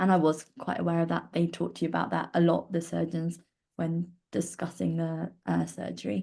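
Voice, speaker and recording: A woman speaks with a southern English accent. Her pace is moderate. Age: 20s. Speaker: volunteer sharing lived experience of cleft. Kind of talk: personal testimony. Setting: online live stream. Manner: hesitant with frequent fillers.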